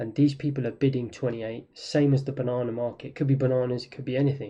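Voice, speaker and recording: Somewhat breathy, a man speaks at a very fast pace in a monotone, flat intonation. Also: medium pitch for a man, big swings in loudness. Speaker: trading instructor. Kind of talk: tutorial.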